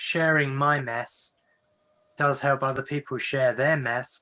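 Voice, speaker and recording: A man with an English accent, medium in pitch, bright and sharp in tone, with fairly even intonation and a very slow pace. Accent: English accent, noticeable. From northern England. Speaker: professor of Quaker studies. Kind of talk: online talk with Q&A. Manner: conversational, with fillers and restarts.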